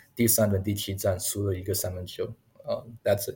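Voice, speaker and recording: This man's voice sits at a fairly low pitch with a dark, mellow tone. It is somewhat breathy. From Taiwan, rural Taoyuan (Longtan). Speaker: basketball video analyst, former NBA scout. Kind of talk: interview. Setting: remote recording.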